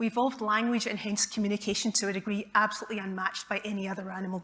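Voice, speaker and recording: A woman talks at a very fast pace with a Scottish accent. Her fairly high pitch shows ordinary variation. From Scotland, Glasgow. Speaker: neurologist. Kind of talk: public talk. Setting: stage with audience.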